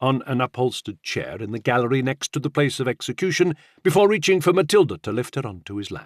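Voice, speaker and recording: Here a man speaks in a plain, everyday voice at a fairly quick pace with lively intonation. The sound is dry and close, with no echo. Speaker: audiobook narrator. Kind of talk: audiobook narration of historical fiction.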